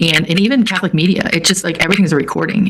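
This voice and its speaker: Speaking at a very fast pace with ordinary pitch variation, a woman is heard over noticeable background noise. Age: 60s. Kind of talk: live web event discussion. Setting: live web event.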